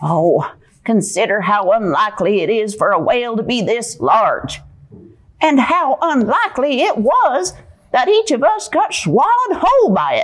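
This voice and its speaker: A female-sounding cartoonish character voice, high-pitched, speaking at a moderate pace. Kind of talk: puppet show performance. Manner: pessimistic, fretful.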